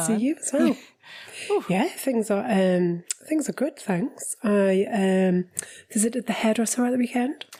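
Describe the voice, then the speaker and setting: A woman with a Geordie accent, fairly high in pitch, with lively intonation at a fairly slow pace. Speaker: relationship coach. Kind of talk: podcast conversation.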